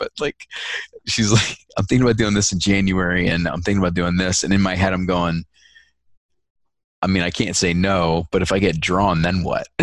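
A raspy put-on character voice at a moderate pace, broken by long, frequent pauses. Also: man, very deep, low pitch for a man. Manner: secretive, quiet.

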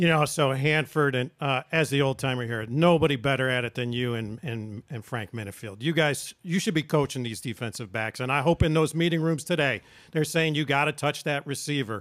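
On a very clean recording with a silent background, a man with a fairly high pitch and an unremarkable speaking voice talks at a fairly quick pace with hardly any pauses and ordinary pitch variation. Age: 60s. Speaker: sports show host. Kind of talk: casual sports talk.

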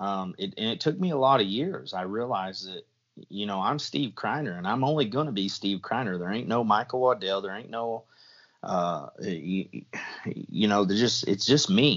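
An unremarkable speaking voice with an American accent. The pace is moderate and the intonation lively. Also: man, fairly low pitch for a man. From US Midwest, Southwest Missouri. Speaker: predator hunting call designer and video host. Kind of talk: casual chat.

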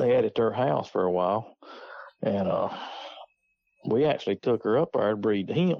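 At a moderate pace, a man with a Southern US accent and medium pitch uses lively intonation broken by long, frequent pauses. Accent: Southern US rural. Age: 50s. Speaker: coon hunter. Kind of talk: casual chat.

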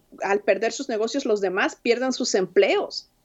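This woman has an unremarkable speaking voice, pitched fairly high. Her intonation is lively. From Mexico City. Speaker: immigrant rights organizer. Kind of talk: interview.

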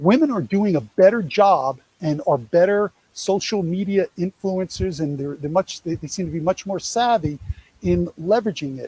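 In a New York accent, a man with a high pitch and a dark, mellow tone talks at a moderate pace, the sound dry and close with no echo. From New York, US. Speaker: speaker on college athlete revenue program. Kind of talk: presentation to a live audience. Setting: in-person event, also streamed online.

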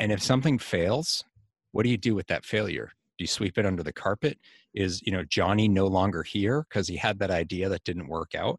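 On a very clean recording with a silent background, a man talks at a fairly quick pace in a normal speaking voice with ordinary pitch variation and a dry, close sound with no echo. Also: fairly low pitch for a man. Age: 40s. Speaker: insurance executive and author. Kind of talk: interview.

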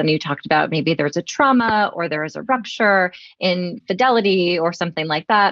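A woman with an unremarkable speaking voice talks at a moderate pace and fairly low pitch, with ordinary pitch variation. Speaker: podcast host, mental health clinician. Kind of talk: interview.

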